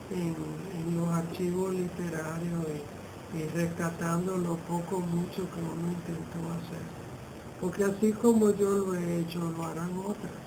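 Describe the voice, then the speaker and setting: Amid audible room echo and noticeable background noise, a woman speaks at a fairly slow pace, her fairly low pitch staying monotone and flat. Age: 60s. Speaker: poet and writer. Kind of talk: interview. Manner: halting, repeats words.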